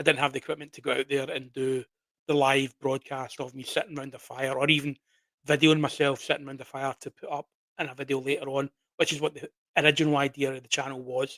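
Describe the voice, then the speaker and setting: In a Glaswegian accent, a man speaks at a very fast pace with a fairly high pitch, a bright, sharp tone, monotone, flat intonation, big swings in loudness, and a dry, close sound with no echo. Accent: Glaswegian Scottish. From Scotland, Glasgow. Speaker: horror story channel owner. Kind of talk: casual live stream chat. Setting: live stream at PC.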